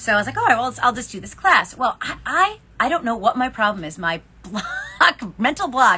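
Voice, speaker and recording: A woman's high-pitched voice at a moderate pace, with very wide pitch swings, big swings in loudness and noticeable background noise. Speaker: yarn shop owner and knitting podcast co-host. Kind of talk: casual chat.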